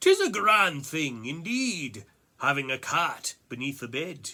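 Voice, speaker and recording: Using a put-on character voice, a man talks slowly-ish, at a fairly slow pace, with fairly high pitch. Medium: read story.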